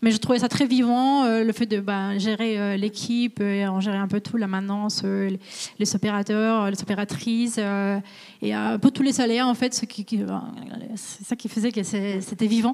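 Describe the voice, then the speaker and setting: Her medium-pitched voice moves at a moderate pace, as this woman speaks in a monotone with flat intonation. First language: Spanish (speaking French). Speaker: supply chain manager. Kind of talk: career interview on webinar. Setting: company visit, webinar. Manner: hesitant, many fillers.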